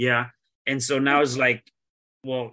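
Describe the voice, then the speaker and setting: In a bright, sharp tone, a man speaks at medium pitch with monotone, flat intonation. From Mexico City, moved to US at ten. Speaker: podcast host. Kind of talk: interview conversation; reading guest bio. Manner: halting, many restarts and fillers.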